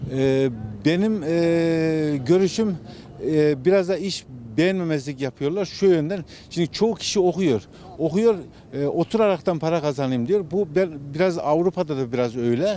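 Over light background noise, a man uses a normal speaking voice, fairly high in pitch, at a moderate pace with ordinary pitch variation and a dry sound with no echo. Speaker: passerby interviewee. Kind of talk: street interview answer. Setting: outdoors. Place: street.

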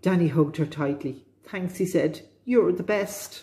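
A woman speaks in a dark, mellow, somewhat breathy tone. Her pace is moderate and her pitch varies in an ordinary way. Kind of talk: children's storytelling read-aloud. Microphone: phone near.

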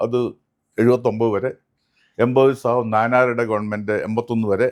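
This man's voice sits at a medium pitch. He keeps a monotone, flat intonation. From Kerala, Kannur. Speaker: politician. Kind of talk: interview.

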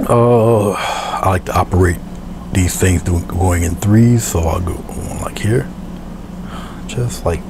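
Amid noticeable background noise, a man with a very deep, low pitch talks at a fairly slow pace, with very wide pitch swings and long, frequent pauses. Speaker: painter and art tutorial presenter; presenter. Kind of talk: tutorial. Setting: video recording of painting demonstration. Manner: soft-spoken; halting, with frequent filler words.

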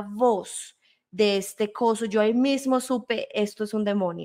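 A woman's fairly high voice with a dark, mellow tone, fairly even intonation and fairly slow pace, quiet background. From Colombia and Spain. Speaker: guest. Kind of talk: testimony. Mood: earnest, storytelling. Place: home room. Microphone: studio mic.

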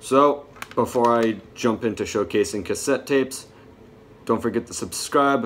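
Light background noise sits behind a man speaking. He keeps a moderate pace and ordinary pitch variation. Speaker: music collector vlogger. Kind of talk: casual vlog chat. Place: home room. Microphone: phone near.

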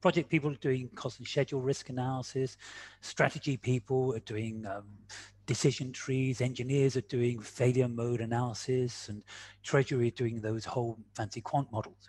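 A man's somewhat breathy, medium-pitched voice at a moderate pace, with fairly even intonation over light background noise. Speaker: quantitative risk analyst and speaker. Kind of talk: webinar presentation. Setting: video call. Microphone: video call.

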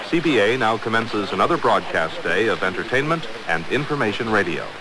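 A man talks at a fairly quick pace. The sound is dry with no echo, though noticeable background noise comes through. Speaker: radio station announcer. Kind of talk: formal station identification announcement. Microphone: old recording.

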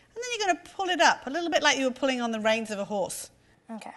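Her voice is high-pitched, a woman's. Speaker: cooking show host. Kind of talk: tutorial. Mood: warm, encouraging. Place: kitchen. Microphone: lapel.

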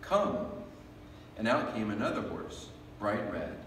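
A man's voice comes with audible room echo and a bit of background noise. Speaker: worship leader. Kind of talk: reading aloud. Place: church. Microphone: podium.

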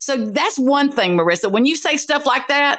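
A woman speaks in a high pitch with a bright, sharp tone, lively intonation and an animated delivery. Her pace is fairly slow, and the background is quiet. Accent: Southern US. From US South. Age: 50s. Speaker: YouTube commentator. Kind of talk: angry rant vlog. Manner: confrontational. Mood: angry, accusatory. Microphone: video call.

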